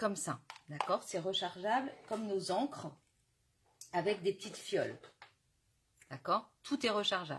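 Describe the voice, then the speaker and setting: At a fairly slow pace, a woman with a medium pitch speaks with lively intonation and long, frequent pauses. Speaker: crafting demonstrator. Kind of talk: live craft tutorial. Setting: Facebook live stream.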